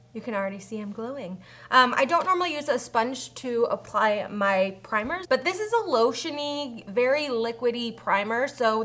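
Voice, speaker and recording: A woman's voice with lively intonation. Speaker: beauty youtuber. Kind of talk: makeup tutorial. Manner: fast.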